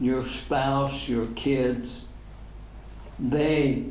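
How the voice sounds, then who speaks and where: Spoken at a very slow pace with an American accent, the clip carries noticeable background noise and audible room echo. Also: man. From Northern Ireland. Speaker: pastor. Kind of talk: public talk with Q&A.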